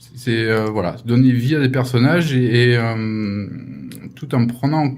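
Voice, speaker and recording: Noticeable background noise and audible room echo surround a man at medium pitch. He talks at a fairly slow pace with ordinary pitch variation. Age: 50s. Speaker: animation supervisor. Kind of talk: interview. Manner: hesitant.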